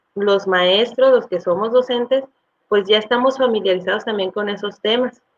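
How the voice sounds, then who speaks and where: A woman's plain, everyday voice at medium pitch, fairly slow and fairly even in intonation. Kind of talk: testimony. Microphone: audio problems.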